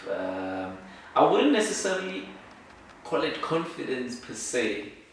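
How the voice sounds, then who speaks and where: Lively intonation from a man at a very slow pace, amid noticeable background noise and audible room echo. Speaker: law student and entrepreneur. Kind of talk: interview. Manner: soft-spoken; halting.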